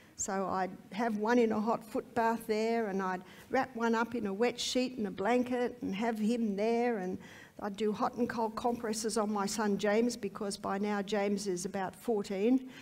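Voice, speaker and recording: Fairly high female voice, monotone and flat, at a moderate pace in a very clean recording with a silent background. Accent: Australian. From Australia. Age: 60s. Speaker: health lecturer. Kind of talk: testimony.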